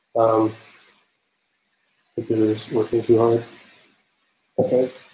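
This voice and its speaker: This man's medium-pitched voice has a dark, mellow tone and is somewhat breathy. His intonation stays monotone and flat. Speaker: software developer giving a meetup talk. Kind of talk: technical presentation. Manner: fast; hesitant, many fillers.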